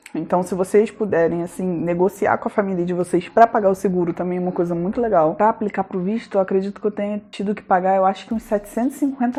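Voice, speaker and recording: A woman's dark, mellow voice at a medium pitch, very fast, with hardly any pauses. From Brazil, Rio de Janeiro. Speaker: vlogger. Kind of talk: casual vlog monologue.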